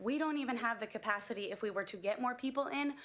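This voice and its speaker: Loud and bright with a sharp tone, a woman speaks. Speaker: school kitchen worker, public commenter. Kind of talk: public comment at school board meeting.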